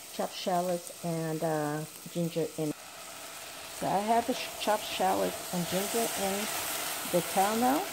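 A woman at a fairly slow pace, with long, frequent pauses over noticeable background noise. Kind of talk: tutorial. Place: kitchen. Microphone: camera far.

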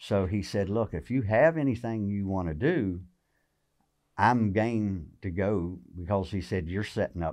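Against a quiet background, a man speaks in a Southern US accent at a fairly slow pace. His voice is fairly low, with ordinary pitch variation. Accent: Southern American. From Virginia, USA. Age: 50s. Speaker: tournament bass angler; podcast guest. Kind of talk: interview answer. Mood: relaxed, friendly. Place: shop. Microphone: studio mic.

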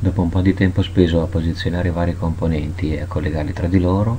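Very deep and low, a man's voice runs at a very fast pace. The intonation is monotone and flat, with light background noise. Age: 30s. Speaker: electronics hobbyist maker; electronics educator. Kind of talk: tutorial. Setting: home DIY room. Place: workshop.

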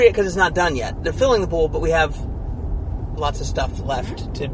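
Delivered at a very fast pace, the speech has a dry sound with no echo and noticeable background noise. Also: man. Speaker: real estate vlog co-host. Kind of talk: casual vlog chat. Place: car. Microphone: camera far.

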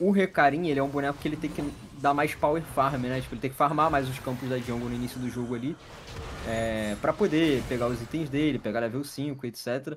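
Fairly quick speech over light background noise. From Brazil. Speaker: esports co-caster. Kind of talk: live commentary. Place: home room.

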